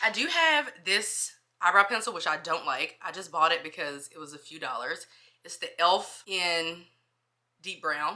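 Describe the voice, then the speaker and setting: A woman speaks in a bright, sharp tone. Her loudness swings widely. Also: fairly low pitch for a woman, ordinary pitch variation. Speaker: school social worker and lifestyle vlogger. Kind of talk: casual vlog chat. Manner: fast.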